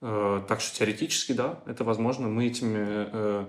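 A man speaks at a medium pitch. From Germany. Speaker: volunteer project coordinator. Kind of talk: interview. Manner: hesitant, frequent fillers.

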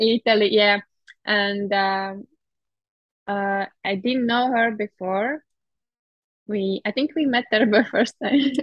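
A woman with a Latvian accent speaks very slowly, with long, frequent pauses. Her pitch is fairly high, with ordinary pitch variation. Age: 30s. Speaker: heptathlete. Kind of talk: interview. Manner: halting.

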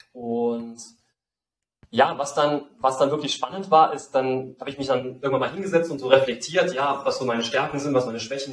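Fairly high-pitched man at moderate pace, with an unremarkable speaking voice. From Saarland, Germany. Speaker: life design mentor, former football coach. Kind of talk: interview.

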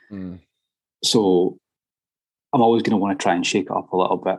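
A man with a Scottish accent, fairly low pitch and a fairly quick pace. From Scotland. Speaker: metal musician. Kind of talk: casual chat.

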